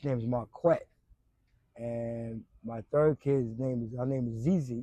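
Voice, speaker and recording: A man with a New York accent at medium pitch, dark and mellow in tone, with fairly even intonation and a fairly slow pace, in a dry, close sound with no echo. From Brooklyn, New York. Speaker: former addict sharing life story. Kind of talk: interview. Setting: outdoors in a park.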